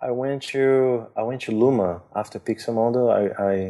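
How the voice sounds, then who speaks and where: A dark, mellow tone with a Brazilian accent and fairly even intonation, over a quiet background. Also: man. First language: Portuguese. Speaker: visual effects artist. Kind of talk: casual interview. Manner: talkative.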